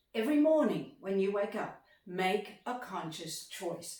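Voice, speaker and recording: Very wide pitch swings mark this woman's speech, delivered with an Australian accent. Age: 60s. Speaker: motivational speaker. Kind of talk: motivational talk. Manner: animated.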